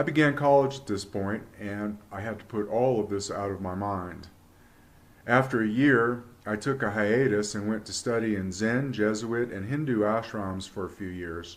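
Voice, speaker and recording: This man has an ordinary speaking voice with a fairly low pitch and big swings in loudness. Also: ordinary pitch variation, moderate pace. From Virginia, US. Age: 60s. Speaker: UFO experiencer, retired businessman. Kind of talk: personal testimony.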